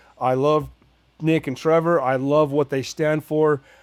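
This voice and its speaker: The recording is very clean, with a silent background. A man speaks at a moderate pace and a fairly high pitch with fairly even intonation. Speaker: firefighter and fitness challenge winner. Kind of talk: casual interview chat. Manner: loud; halting, many repetitions.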